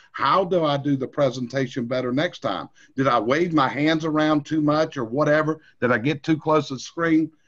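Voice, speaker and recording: A man with a North Carolina accent speaks at a fairly high pitch with ordinary pitch variation. His pace is moderate, with hardly any pauses. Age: 60s. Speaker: industry trainer. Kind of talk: training webinar. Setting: recorded screen session.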